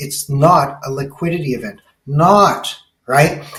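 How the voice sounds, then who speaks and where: A man speaks with a Canadian accent. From Canada. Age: 60s. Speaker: technology business consultant. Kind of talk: podcast interview. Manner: fast; animated.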